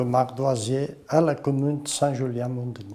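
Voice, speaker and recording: The man's voice has a dark, mellow tone. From Portugal, Tortozendo. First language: Portuguese (speaking French). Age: 60s. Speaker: former slate quarry worker. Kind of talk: testimony.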